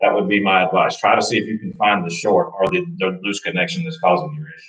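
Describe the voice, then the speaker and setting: A man at a fairly quick pace with lively intonation, audible room echo and a quiet background. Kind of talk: live Q&A answers. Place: garage. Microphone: camera far.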